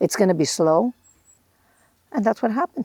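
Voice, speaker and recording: A woman's dark, mellow tone with vocal fry, in a dry, close sound with no echo. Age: 70s. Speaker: interviewee, host's mother. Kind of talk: casual interview. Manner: halting.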